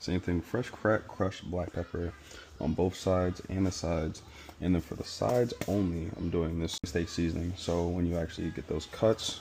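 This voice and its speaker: This man's voice has a very deep, low pitch and a dark, mellow tone, with fairly even intonation at a moderate pace. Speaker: cooking content creator. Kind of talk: cooking vlog tutorial. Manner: whispering; casual.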